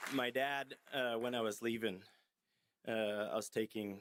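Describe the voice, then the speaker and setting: A man speaks at a very slow pace with a fairly low pitch. His intonation stays fairly even. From Australia. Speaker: motocross racer, hall of fame inductee. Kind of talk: acceptance speech. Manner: halting, many fillers.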